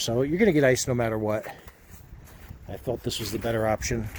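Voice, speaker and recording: Mumbling at a fairly quick clip, a man speaks at medium pitch with ordinary pitch variation. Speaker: vlogger. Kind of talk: casual vlog narration.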